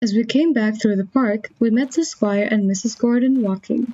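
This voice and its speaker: A woman speaks at a moderate pace, her fairly high voice somewhat breathy. Her pitch shows ordinary variation. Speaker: audiobook narrator. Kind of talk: audiobook reading for English learners.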